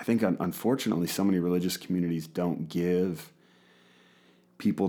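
This man talks at a very fast pace, his very deep, low pitch carrying a dark, mellow tone. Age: 30s. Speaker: pastor and podcast host. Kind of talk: casual chat. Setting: studio.

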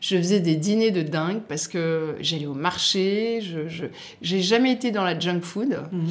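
A woman with a fairly low voice talks at a fairly slow pace over noticeable background noise. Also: ordinary pitch variation. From southern France, Côte d'Azur. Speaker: magazine editor-in-chief and chef. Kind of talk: interview.

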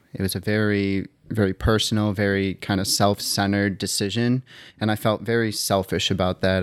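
A fairly low, flat, monotone man's voice with an American accent at a fairly quick pace. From Wisconsin, outside Milwaukee. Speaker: long-distance hiker. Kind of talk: casual interview.

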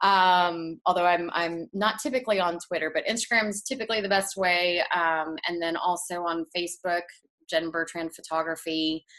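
A woman's fairly low voice with an American accent, a normal speaking voice, ordinary pitch variation, and a moderate pace. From Texas. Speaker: portrait photographer. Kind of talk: interview.

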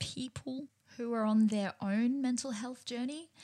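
Pitch variation is ordinary. The delivery is fairly slow. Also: woman. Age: 30s. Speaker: podcast host. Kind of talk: solo self-help podcast talk.

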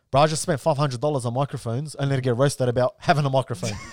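In a very clean recording with a silent background, a man with an Australian accent speaks very fast with fairly even intonation. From Melbourne, Australia. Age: 20s. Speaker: content creator. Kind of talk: casual chat.

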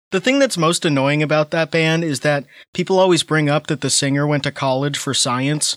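A man with an unremarkable speaking voice, fairly high pitch and fairly quick pace, ordinary pitch variation, dry and close with no echo, very clean recording and silent background. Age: 30s. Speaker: podcast co-host. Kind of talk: casual chat.

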